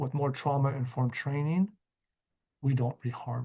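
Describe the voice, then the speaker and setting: This is an unremarkable speaking voice at a moderate pace. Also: man, quiet background. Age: 50s. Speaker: executive director and trainer. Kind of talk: training lecture. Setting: recorded training video.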